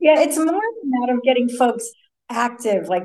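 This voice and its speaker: Her high-pitched voice shows ordinary pitch variation as the woman speaks. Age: 60s. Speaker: triathlete and surfer, women's fitness business owner. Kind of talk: casual interview chat.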